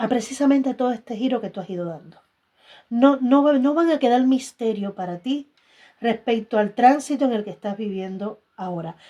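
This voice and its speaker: A woman's dark, mellow tone at a moderate pace, with ordinary pitch variation and big swings in loudness. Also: fairly high pitch for a woman. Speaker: tarot reader. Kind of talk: tarot reading.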